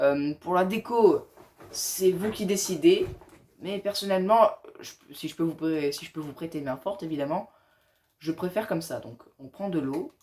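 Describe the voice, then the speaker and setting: A man with a high pitch, a fairly slow pace, ordinary pitch variation and long, frequent pauses. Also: big swings in loudness. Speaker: gaming tutorial youtuber. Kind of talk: tutorial.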